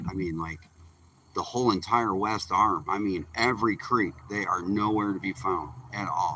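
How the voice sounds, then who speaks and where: In an American accent, a man speaks at a moderate pace. His pitch is fairly low, with ordinary variation. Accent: Michigan accent noticed by viewer. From Michigan, Upper Peninsula. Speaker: fishing livestreamer. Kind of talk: casual live-stream chat. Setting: outdoors on a boat. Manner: relaxed, chatty.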